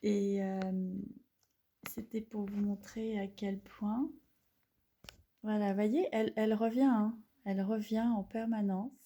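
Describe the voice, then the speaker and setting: A somewhat breathy, dark, mellow voice moves at a very slow pace with long, frequent pauses. The intonation is monotone and flat. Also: woman, fairly high pitch for a woman. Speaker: holistic therapist. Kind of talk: casual demonstration video. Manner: hesitant, many fillers.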